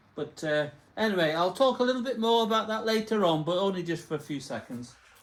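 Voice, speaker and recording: A man speaks with an English accent and lively intonation at a moderate pace. Noticeable background noise runs under the recording. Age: 70s. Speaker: motorcycle vlogger. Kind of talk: casual tutorial. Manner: halting.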